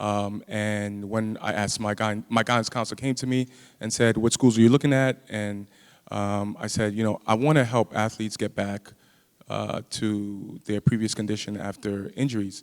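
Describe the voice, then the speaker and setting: With a New York accent, a man talks in a fairly low pitch. His intonation is fairly even. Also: moderate pace. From US Northeast, Brooklyn, New York. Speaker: physical therapist and faculty member. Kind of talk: panel talk.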